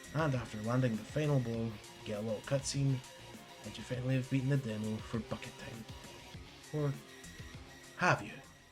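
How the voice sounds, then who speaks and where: Over music in the background, a man at medium pitch speaks at a fairly quick pace with fairly even intonation and long, frequent pauses. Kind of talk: video game review narration. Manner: casual.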